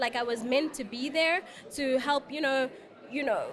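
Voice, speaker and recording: In a South African accent, a woman speaks at a moderate pace in an animated tone with a high pitch. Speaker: life coach and reality show cast member. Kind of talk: interview.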